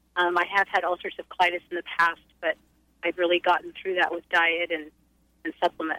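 With an American accent, a woman speaks in a fairly low pitch at a fairly quick pace. Her intonation is monotone and flat. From US Pacific Northwest. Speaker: caller. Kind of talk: phone-in question. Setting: phone call.

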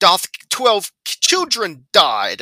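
A man's high, raised and projected put-on character voice, in a dry, close sound with no echo. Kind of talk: archaic, old-fashioned.

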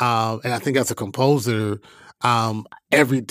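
Recorded with a dry, close sound and no echo, a man speaks at a medium pitch with fairly even intonation. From Atlanta, Georgia (US South). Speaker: film and TV composer. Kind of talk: interview conversation. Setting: video call, home studio. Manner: casual, relaxed with fillers.

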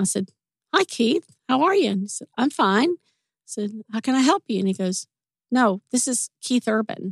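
A woman with a Southern US accent speaks at a fairly high pitch with very wide pitch swings, in a dry, close sound with no echo. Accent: Southern US drawl. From US South, Mississippi. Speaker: retired music industry executive assistant. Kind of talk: casual interview chat. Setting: studio.

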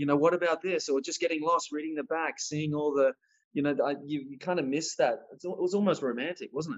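A man talks at a fairly quick pace with an Australian accent. His pitch is fairly high, with ordinary pitch variation. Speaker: actor. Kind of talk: interview. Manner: halting, many fillers.

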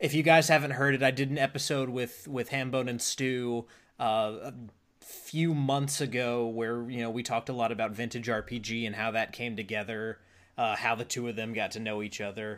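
On a very clean recording with a silent background, a man with an ordinary speaking voice talks at a medium pitch and moderate pace with fairly even intonation. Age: 20s. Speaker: podcast host and dungeon master. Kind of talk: casual interview chat.

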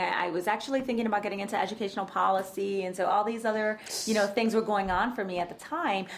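A woman is heard over noticeable background noise. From New York, the Bronx. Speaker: writer and poet, educator. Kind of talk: casual interview chat.

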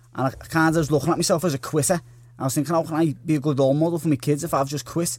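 Talking at a very fast pace, a man keeps his fairly high-pitched voice to fairly even intonation. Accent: Liverpool. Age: 20s. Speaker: boxer. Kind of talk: interview.

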